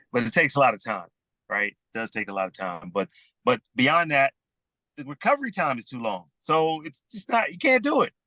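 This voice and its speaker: A man's fairly high voice with vocal fry and a bright, sharp tone, very wide pitch swings, big swings in loudness, a fairly quick pace, and a dry, close sound with no echo. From US South, Rome Georgia. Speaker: sports executive. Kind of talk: casual chat.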